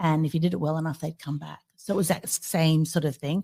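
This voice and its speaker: With an Australian accent, a woman talks at a very fast pace in a fairly low pitch. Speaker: business consultant. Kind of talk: podcast interview.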